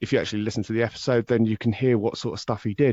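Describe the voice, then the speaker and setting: A man is speaking. He has an English accent. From southern England, High Wycombe. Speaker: true crime podcaster. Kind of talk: interview chat.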